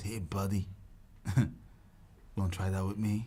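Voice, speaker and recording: In a raspy, put-on character voice, the speaker moves at a moderate pace. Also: man, fairly low pitch for a man. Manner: menacing, challenging.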